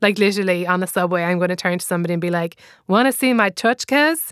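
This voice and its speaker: In an Irish accent, a woman talks at a very fast pace at medium pitch. The sound is dry and close, with no echo. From Ireland. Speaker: comedian and author. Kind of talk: casual talk about her book.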